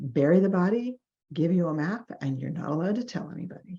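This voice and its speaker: A dark, mellow voice with vocal fry and lively intonation speaks with an American accent. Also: woman. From New York. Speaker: clinical social worker and trainer. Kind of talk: recorded training lecture. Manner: animated.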